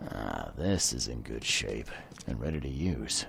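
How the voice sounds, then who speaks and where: A man uses a put-on character voice with a very deep, low pitch at a moderate pace. Clear background noise runs underneath. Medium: video game. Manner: dry, laconic.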